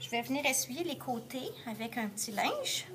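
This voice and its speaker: Noticeable background noise sits behind a woman who talks fairly slowly. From Quebec. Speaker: art teacher. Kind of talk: tutorial. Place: classroom. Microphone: phone near.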